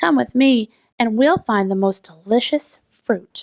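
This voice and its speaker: A woman performs a put-on character voice with a fairly high pitch. She speaks at a fairly slow pace. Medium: read story.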